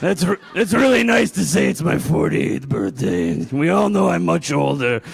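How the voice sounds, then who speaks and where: A raspy put-on character voice at a moderate pace, very even in loudness, over light background noise. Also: man. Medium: stage play. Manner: slow, bumbling.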